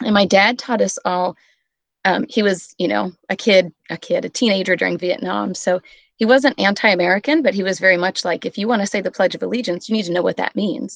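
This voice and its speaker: A woman speaks at a fairly quick pace with vocal fry, her medium pitch showing ordinary variation. The sound is dry and close with no echo over a quiet background. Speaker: teacher. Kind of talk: casual round-table chat. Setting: video call.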